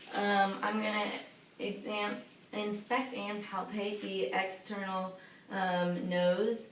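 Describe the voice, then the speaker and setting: Over noticeable background noise, a woman with a medium pitch and ordinary pitch variation talks at a very slow pace. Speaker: physician assistant (student) giving a physical exam. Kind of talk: clinical exam roleplay, instructional narration. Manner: calm, matter-of-fact, explaining each step.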